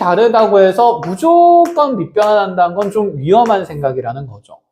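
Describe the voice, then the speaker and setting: This man's voice is high-pitched with a dark, mellow tone. He speaks at a fairly slow pace with very wide pitch swings. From provincial South Korea, outside Seoul. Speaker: math tutor. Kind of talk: lecture. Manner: can sound brusque, like scolding.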